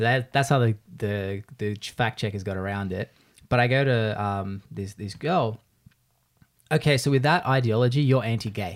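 This man has an Australian accent. The background is silent and the recording very clean. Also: medium pitch for a man, ordinary pitch variation. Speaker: podcast host and video creator. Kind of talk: casual chat. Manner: fast talker.

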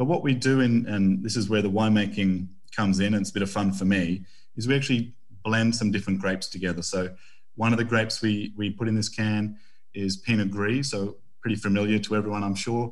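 A man with an Australian accent talks very fast at a fairly low pitch, his intonation fairly even, with audible echo in the room. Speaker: winemaker. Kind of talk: interview.

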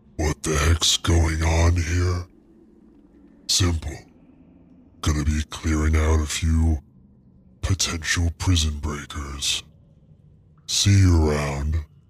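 A booming, put-on character voice speaks at a fairly slow pace in a monotone, flat intonation, with long, frequent pauses. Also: man, very deep, low pitch for a man. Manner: gruff, curt, menacing.

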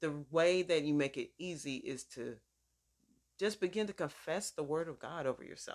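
This woman has an ordinary speaking voice with fairly low pitch and ordinary pitch variation. She speaks at a moderate pace. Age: 50s. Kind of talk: sermon-style teaching with personal testimony. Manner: conversational, informal.

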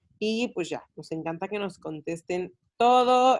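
An ordinary speaking voice moves at a fairly slow pace. The recording is very clean, with a silent background. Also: woman. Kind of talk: casual chat.

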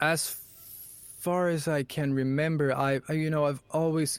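With a Swedish accent, a man speaks at a fairly slow pace. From Sweden. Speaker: composer and voice actor. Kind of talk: interview. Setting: home production room.

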